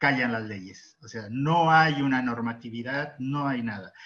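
The tone is bright and sharp, and the pace fairly slow. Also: man. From Mexico. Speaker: historian, researcher. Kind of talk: academic panel discussion. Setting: video call. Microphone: video call.

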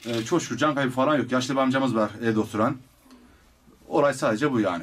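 Very fast speech with ordinary pitch variation over light background noise. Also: man. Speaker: firefighter. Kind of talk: interview answer. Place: kitchen.

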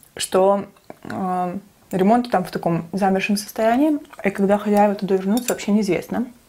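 A woman's somewhat breathy voice, dark and mellow in tone, with ordinary pitch variation. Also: moderate pace. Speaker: mukbang vlogger. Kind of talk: casual storytelling vlog chat. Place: kitchen.

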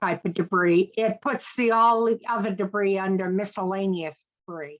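The speaker has a Maine accent and fairly even intonation. The pace is fairly slow. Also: woman. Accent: Maine accent, noticeable. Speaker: commission member. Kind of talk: public meeting discussion.

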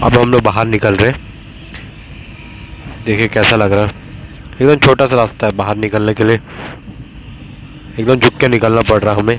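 A man at a moderate pace with long, frequent pauses, monotone and flat, on a dry recording with no echo and light background noise. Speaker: vlogger. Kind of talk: casual vlog chat. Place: tunnel cave. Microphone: phone near.

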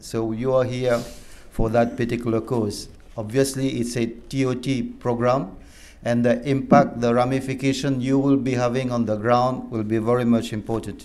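A man's monotone, flat delivery at a moderate pace. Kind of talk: formal welcome address. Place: meeting room. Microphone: podium.

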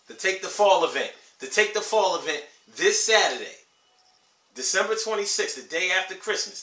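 A man speaks in a raised, projected voice at a moderate pace, with audible room echo. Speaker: vlogger giving life advice. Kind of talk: casual vlog chat. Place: home room. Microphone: camera far.

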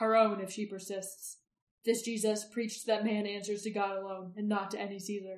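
The speaker reads in an unforced voice with little sound in the background.

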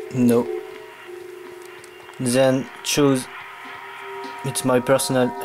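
A man with a French accent and a medium pitch speaks at a very slow pace with fairly even intonation and long, frequent pauses, while music plays in the background. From France. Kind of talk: casual tutorial voice-over. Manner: hesitant, halting.

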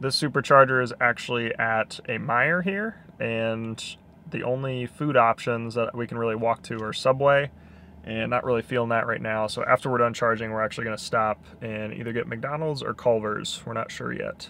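Bright and sharp in tone, a man speaks with fairly even intonation in a dry sound with no echo. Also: moderate pace. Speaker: vlogger. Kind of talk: casual vlog chat. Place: car.

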